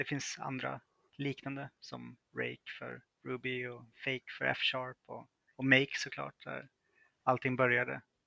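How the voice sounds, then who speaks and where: Against a dry, close sound with no echo, a man talks at a fairly slow pace with long, frequent pauses and big swings in loudness. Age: 30s. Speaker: freelance software developer. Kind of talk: interview.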